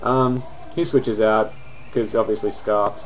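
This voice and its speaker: Music plays in the background as a man speaks. He has an Australian accent and a fairly quick pace. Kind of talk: casual game commentary. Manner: casual, hesitant.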